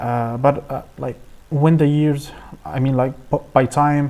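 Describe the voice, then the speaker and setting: Fairly even intonation in an Arabic accent. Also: man. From Egypt. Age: 20s. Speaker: AI engineer and researcher. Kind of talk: presentation. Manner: halting, many fillers and repetitions.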